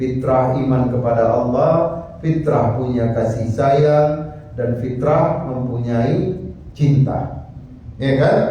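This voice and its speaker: A man at a medium pitch, very slow and very even in loudness, with fairly even intonation, noticeable background noise and audible room echo. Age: 70s. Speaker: Islamic preacher. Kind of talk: religious lecture. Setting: mosque.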